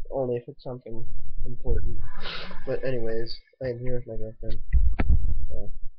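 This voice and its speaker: Noticeable background noise fills the clip. Over it, a man speaks fairly quickly. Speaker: birthday vlogger. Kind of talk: casual talk to camera. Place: home room. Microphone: webcam.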